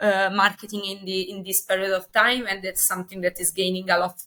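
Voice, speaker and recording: At a fairly quick pace, a woman speaks in a bright, sharp tone. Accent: Italian. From Italy. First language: Italian. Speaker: company representative. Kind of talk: interview. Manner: halting, many fillers.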